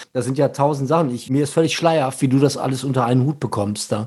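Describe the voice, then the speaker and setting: The pace is very fast. The intonation stays monotone and flat. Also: man. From Germany, Ruhr area (Gelsenkirchen). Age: 50s. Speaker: podcast host. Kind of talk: casual chat.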